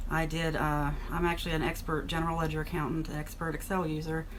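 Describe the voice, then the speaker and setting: Audible room echo surrounds a woman with a fairly low pitch. She talks at a very fast pace. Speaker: author and former accountant. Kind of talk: casual vlog monologue. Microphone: poor microphone.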